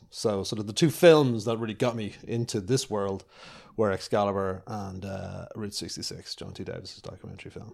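On a very clean recording with a silent background, a man with a Dublin accent and fairly low pitch talks at a moderate pace, with ordinary pitch variation and big swings in loudness. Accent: Dublin Irish. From Ireland, north Dublin. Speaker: television director. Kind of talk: interview. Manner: casual, with many fillers.

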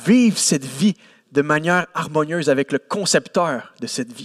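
A man with a Quebec accent has a fairly high pitch, an animated tone and lively intonation at a fairly slow pace. The sound is dry and close, with no echo. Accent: Québécois French. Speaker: preacher. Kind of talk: sermon. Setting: church service with congregation.

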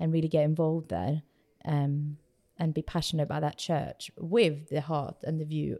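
A woman with a very deep, low voice talks at a fairly quick pace in a dark, mellow tone. Her intonation is monotone and flat, and the recording is very clean with a silent background. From Sweden. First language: Swedish. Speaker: church planter. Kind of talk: interview.

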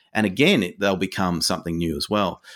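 A man with an Australian accent. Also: very clean recording, silent background. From Tasmania, Australia. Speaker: children's author. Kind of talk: interview.

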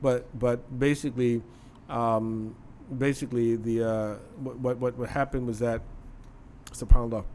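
A man with a dark, mellow tone speaks at medium pitch in a monotone, flat intonation, at a moderate pace with long, frequent pauses. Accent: American. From US, Philadelphia and Chicago. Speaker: Islamic scholar. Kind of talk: casual interview.

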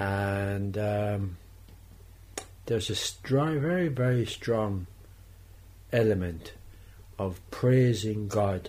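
Somewhat breathy and fairly low in pitch, a man speaks very slowly with a Tipperary accent. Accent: Irish (Tipperary). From Ireland, Thurles, County Tipperary. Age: 70s. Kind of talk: radio interview.

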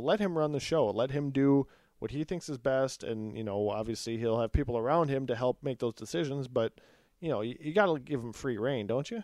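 In an American accent, a man with an ordinary speaking voice talks at a fairly quick pace and medium pitch, with ordinary pitch variation and a quiet background. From Minnesota, Twin Cities. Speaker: sports podcast host. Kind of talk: casual chat. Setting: studio.

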